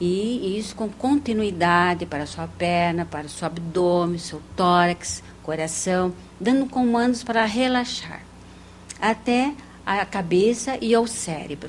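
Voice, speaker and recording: This woman's voice sits at medium pitch, with lively intonation. She talks at a fairly slow pace. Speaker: parapsychologist and hypnotherapist. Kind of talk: TV interview. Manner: soft-spoken.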